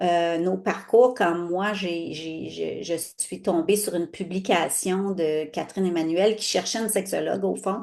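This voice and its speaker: This woman talks at a fairly slow pace with hardly any pauses, her medium-pitched voice keeping a fairly even intonation. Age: 60s. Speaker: sexologist. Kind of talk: casual interview chat. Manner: halting, many fillers.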